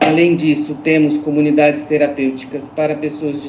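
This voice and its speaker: A woman with a very deep, low pitch is heard through noticeable background noise and audible room echo. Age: 60s. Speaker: social institution director. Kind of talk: public consultation statement. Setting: video call. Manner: hesitant fillers.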